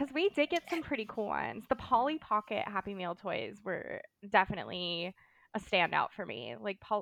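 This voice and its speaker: A woman with an American accent has an animated tone and vocal fry. Her medium pitch makes very wide swings. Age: 30s. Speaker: bar manager and podcaster. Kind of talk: casual chat. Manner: animated, frequent 'like' fillers.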